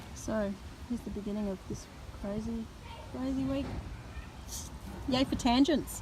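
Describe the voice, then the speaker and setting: A woman with an Australian accent speaks at a fairly high pitch and moderate pace. Her ordinary pitch variation is broken by long, frequent pauses. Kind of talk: casual talk to camera.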